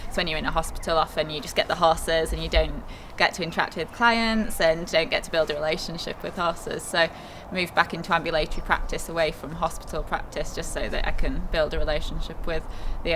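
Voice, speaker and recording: A woman speaks at a very fast pace. There is noticeable background noise. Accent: Yorkshire. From Yorkshire, northern England. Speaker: equine vet. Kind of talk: interview.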